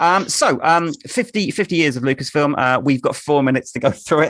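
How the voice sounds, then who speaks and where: A man with an English accent, a fairly high pitch, and ordinary pitch variation. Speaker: quiz host. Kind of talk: casual chat. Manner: halting.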